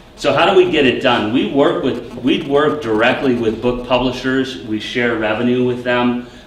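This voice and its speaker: Over light background noise and audible room echo, a man speaks at a moderate pace with hardly any pauses and ordinary pitch variation. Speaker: startup founder. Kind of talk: startup pitch and Q&A. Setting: stage with audience. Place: classroom. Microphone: camera far.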